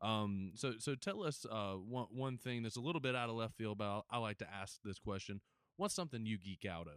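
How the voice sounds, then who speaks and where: This man talks fairly quickly in an ordinary speaking voice, medium in pitch with ordinary pitch variation. The recording is very clean, with a silent background. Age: 20s. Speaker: podcast producer and interviewer. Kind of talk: interview conversation.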